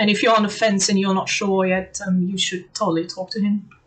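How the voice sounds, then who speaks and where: Moderate pace, somewhat breathy delivery, monotone and flat intonation, with a slight German accent. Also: woman. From Germany. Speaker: language learner giving testimonial. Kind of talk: testimony. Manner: frequent hesitations (um, uh).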